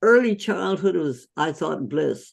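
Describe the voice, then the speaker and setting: A woman's vocal fry at a fairly low pitch, delivered at a very slow pace. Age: 80s+. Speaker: physician. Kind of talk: interview answer.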